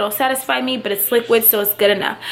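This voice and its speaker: A woman's fairly high-pitched voice with fairly even intonation, amid noticeable background noise. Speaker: vlogger and online English teacher. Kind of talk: casual vlog. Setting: at home.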